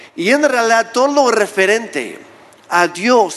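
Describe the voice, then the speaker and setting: A man's high-pitched voice at a very slow pace with lively intonation. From Mexico, Oaxaca. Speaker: pastor. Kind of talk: sermon.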